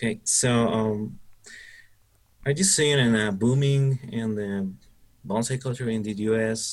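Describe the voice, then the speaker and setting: This man speaks at a fairly slow pace with a Spanish accent. His pitch is medium and varies in an ordinary way. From Mexico. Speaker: bonsai club member interviewer. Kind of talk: interview.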